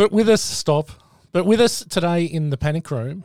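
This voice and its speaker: A man speaks with an Australian accent. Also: dry, close sound with no echo. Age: 40s. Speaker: podcast host. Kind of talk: casual chat.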